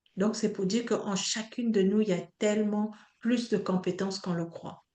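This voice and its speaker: Her pitch sits in the medium range. The woman's intonation stays monotone and flat. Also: moderate pace. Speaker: online coach and trainer. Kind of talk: online training session.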